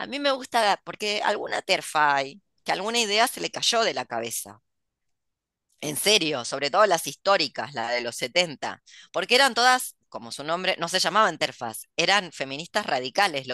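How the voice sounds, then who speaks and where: A woman's fairly low, bright and sharp voice with very wide pitch swings, at a moderate pace, dry with no echo against a quiet background. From Argentina. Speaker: podcast host and writer; host. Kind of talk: casual chat. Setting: video call. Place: home room. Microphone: headset.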